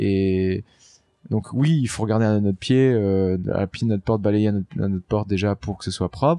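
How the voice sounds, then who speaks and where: A man with a dark, mellow tone talks at a moderate pace in a fairly low pitch with ordinary pitch variation. The background is quiet, and the sound is dry and close with no echo. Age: 40s. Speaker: offshore racing skipper. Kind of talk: casual interview. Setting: aboard a trimaran in port. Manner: halting, many fillers.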